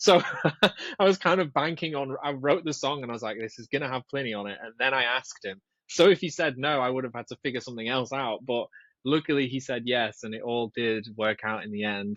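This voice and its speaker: A man speaks with a northern English accent at a medium pitch and a fairly quick pace. His pitch varies in an ordinary way while his loudness swings widely. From northwest England. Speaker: guitarist and composer. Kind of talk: podcast interview. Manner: casual, hesitant with fillers.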